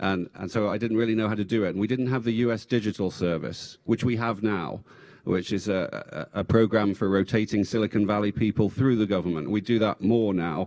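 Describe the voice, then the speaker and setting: Talking at a fairly quick pace with hardly any pauses, a man with an English accent keeps a fairly low pitch and fairly even intonation. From England. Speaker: former tech executive and government official. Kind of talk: panel discussion. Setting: stage with audience.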